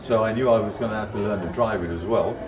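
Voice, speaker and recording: A man speaks with ordinary pitch variation. Music plays clearly in the background. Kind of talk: interview answer. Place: home room.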